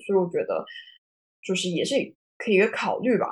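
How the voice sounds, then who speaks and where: A woman talks in a somewhat breathy voice. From China. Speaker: marketing professional. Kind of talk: panel talk on video call. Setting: video call.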